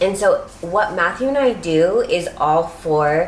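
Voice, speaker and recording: A woman's speech carries audible room echo, with noticeable background noise also present. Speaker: lifestyle vlogger. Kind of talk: casual chat.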